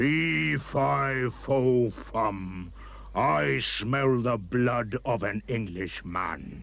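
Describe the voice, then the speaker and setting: In a rumbling, put-on character voice, the speaker goes at a very slow pace. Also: man, fairly low pitch for a man. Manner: booming, shouted.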